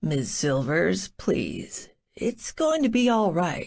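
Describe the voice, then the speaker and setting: A woman uses a put-on character voice at medium pitch, speaking at a very slow pace. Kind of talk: fatherly. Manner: warm, reassuring.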